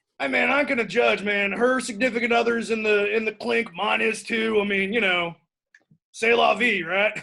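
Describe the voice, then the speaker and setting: A raspy, put-on character voice from a man, high in pitch, at a moderate pace with ordinary pitch variation. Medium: comedy sketch. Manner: rambling, hesitant, full of "man" and "uh".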